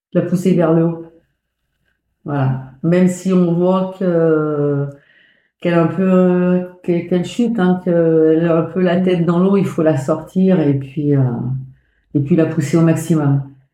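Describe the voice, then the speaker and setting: Very slow delivery with long, frequent pauses, a dark, mellow tone, fairly even intonation, very even loudness and audible room echo. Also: woman, fairly low pitch for a woman. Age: 50s. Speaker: mother of a cancer patient. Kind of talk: testimony. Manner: halting.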